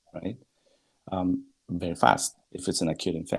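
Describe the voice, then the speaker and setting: A man with a Spanish accent speaks at a fairly slow pace in a very deep, low pitch with a dark, mellow tone. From Bolivia. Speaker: guest. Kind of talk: casual discussion. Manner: halting.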